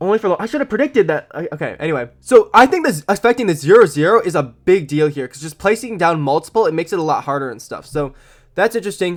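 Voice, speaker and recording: Someone speaks at a very fast pace on a very clean recording with a silent background. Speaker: gaming YouTuber. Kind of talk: casual game update commentary.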